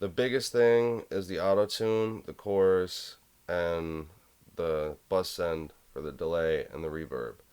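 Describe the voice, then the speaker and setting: Against a quiet background, a man talks at a very slow pace in a very deep, low pitch with ordinary pitch variation. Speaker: music production tutorial creator. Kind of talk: tutorial. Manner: casual, hesitant. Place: home room.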